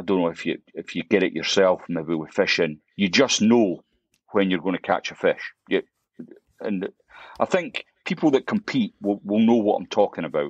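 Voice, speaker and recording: A man with a Scottish accent, heard in a dry, close sound with no echo. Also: moderate pace. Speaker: fly fishing YouTuber. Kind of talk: podcast interview. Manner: halting, many repetitions.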